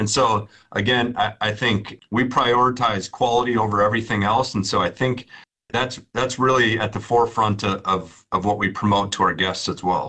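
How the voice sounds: At a moderate pace, a man with a bright, sharp tone and fairly low pitch speaks with fairly even intonation.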